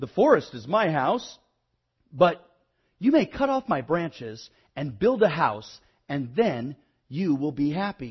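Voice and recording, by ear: In a put-on character voice, a man speaks slowly at a fairly high pitch, with big pitch swings and a slightly husky edge.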